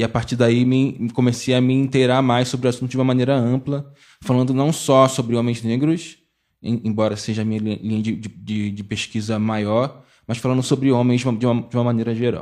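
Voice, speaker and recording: A man talks at a moderate pace in a medium pitch, his intonation flat and monotone. Behind him the background stays quiet. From Baixada Fluminense, Rio de Janeiro. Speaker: geography teacher and researcher. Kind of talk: podcast panel discussion.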